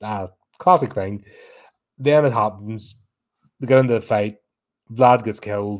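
With a British accent, a man with a fairly low voice speaks fairly slowly, with ordinary pitch variation and long, frequent pauses, on a very clean recording with a silent background. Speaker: horror film reviewer. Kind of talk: solo film review livestream. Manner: rambling, many fillers.

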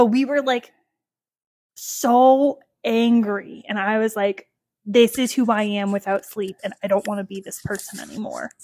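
In a dry, close recording with no echo, a woman with a fairly high voice speaks at a moderate pace, her intonation fairly even but her loudness swinging widely. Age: 30s. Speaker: podcast co-host. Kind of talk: casual chat.

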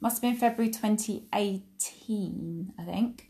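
A woman with an Essex accent and ordinary pitch variation, against a quiet background. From England, Essex. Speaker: accountant and dance school owner podcaster. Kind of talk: casual monologue. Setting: at home. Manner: hesitant, many fillers.

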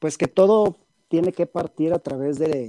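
This man has a western Mexican accent, a fairly high pitch, a dark, mellow tone and ordinary pitch variation. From Mexico, Guadalajara. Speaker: psychiatrist. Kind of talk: interview. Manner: halting, many fillers.

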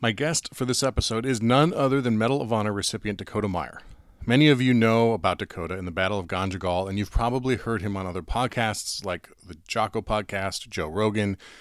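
A man with a plain, everyday voice speaks at a fairly quick pace and fairly low pitch in a very clean recording with a silent background. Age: 40s. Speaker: podcast host and police sergeant. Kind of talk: casual interview.

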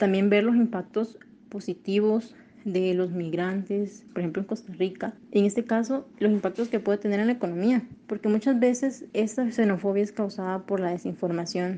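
At a medium pitch and a moderate pace, a woman talks with fairly even intonation and a dark, mellow tone. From Honduras. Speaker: engineering graduate, migrant. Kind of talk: personal testimony.

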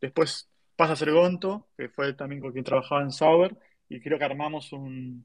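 This is a man with fairly high pitch. His intonation stays fairly even. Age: 30s. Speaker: tech marketing professional. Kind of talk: interview. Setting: online audio room.

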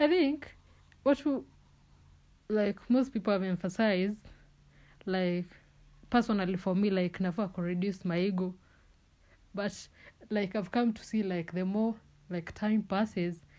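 A woman with a dark, mellow tone speaks at a medium pitch and a moderate pace, using ordinary pitch variation and long, frequent pauses, in a very clean recording with a silent background. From Kenya, Kisii (Keumbu). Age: 20s. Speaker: podcast host. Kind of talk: casual solo monologue. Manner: animated, frequent laughter.

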